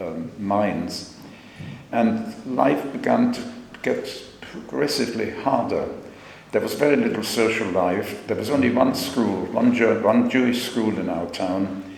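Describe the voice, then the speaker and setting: In a recording with audible room echo and noticeable background noise, a man talks at a fairly slow pace. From Germany. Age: 90s. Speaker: Holocaust survivor. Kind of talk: testimony. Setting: school assembly. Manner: halting.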